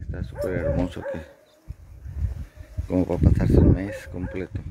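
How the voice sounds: Low and dark with a mellow tone and a husky, rough edge, a man's voice moves at a moderate pace through very wide pitch swings.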